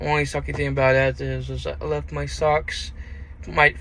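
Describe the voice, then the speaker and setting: Noticeable background noise behind a man's fairly slow delivery. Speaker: truck driver vlogger. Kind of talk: casual vlog monologue.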